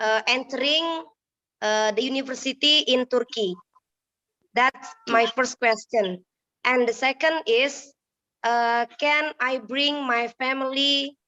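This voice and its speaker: Speaking very slowly with long, frequent pauses, a woman with an Indonesian accent uses a high, bright, sharp voice, fairly even intonation and very even loudness, in a dry, close recording with no echo. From Indonesia, Bangka Belitung. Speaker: prospective student asking questions. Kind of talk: webinar question. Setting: video call by phone, camera off. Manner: halting.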